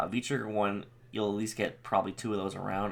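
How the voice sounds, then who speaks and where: A man's unremarkable speaking voice, fairly low and at a fairly quick pace. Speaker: gaming youtuber. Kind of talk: tutorial.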